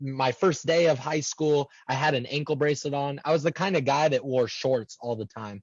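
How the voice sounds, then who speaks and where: A man talks at a moderate pace, somewhat breathy in tone. His pitch is fairly high, with ordinary variation. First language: American Sign Language. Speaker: transpersonal psychologist. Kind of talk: interview. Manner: halting, many repeated words.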